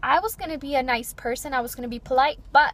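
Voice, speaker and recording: A woman talks at a fairly quick pace with lively intonation. Noticeable background noise sits behind her. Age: 20s. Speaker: lifestyle vlogger. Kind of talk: personal vlog monologue. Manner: not loud.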